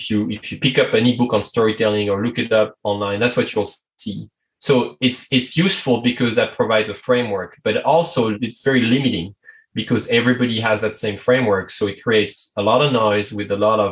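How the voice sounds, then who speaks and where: A man with a French accent speaks at a fairly quick pace, his medium pitch held in fairly even intonation. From France. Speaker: strategy consultant. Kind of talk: podcast interview.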